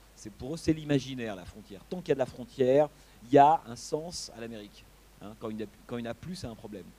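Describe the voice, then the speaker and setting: Speaking very fast, a man of medium pitch uses a dark, mellow tone with lively intonation and big swings in loudness. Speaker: film critic. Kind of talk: lecture. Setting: auditorium after a screening with audience. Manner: halting, many repetitions and fillers.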